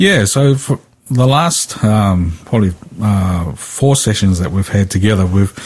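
A man speaks at a fairly low pitch with a slight New Zealand accent. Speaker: Bible teacher. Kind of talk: Bible study discussion on radio. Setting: remote link from another town.

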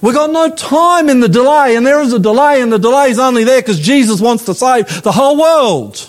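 A man with an Australian accent, extremely high in pitch, fairly quick with hardly any pauses and lively intonation. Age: 50s. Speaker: pastor. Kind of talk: sermon. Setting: church. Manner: animated.

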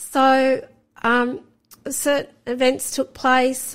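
In an Australian accent, a woman speaks at a high pitch. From Sydney, Australia. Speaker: guest sharing faith testimony. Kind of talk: testimony.

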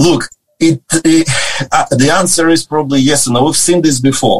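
A man talks at a moderate pace and with ordinary pitch variation while music plays in the background. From Ukraine. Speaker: pastor. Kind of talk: casual interview chat.

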